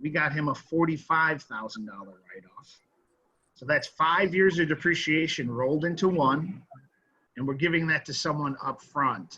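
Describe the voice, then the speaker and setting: Bright, sharp tone at a moderate pace, with ordinary pitch variation and big swings in loudness. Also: man, fairly high pitch for a man. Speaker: cost segregation tax consultant, panelist. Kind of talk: panel presentation.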